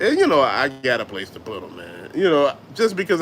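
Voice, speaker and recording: A man with a Southern US accent talks at a very fast pace. His pitch swings very widely. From US South. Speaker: YouTube host, toy collector. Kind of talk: casual live-stream chat. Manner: animated.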